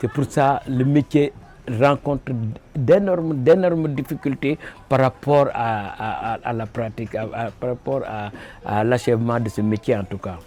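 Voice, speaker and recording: A man speaks fairly slowly at a medium pitch with ordinary pitch variation. He leaves long, frequent pauses. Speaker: wood sculptor. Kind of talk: interview. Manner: halting.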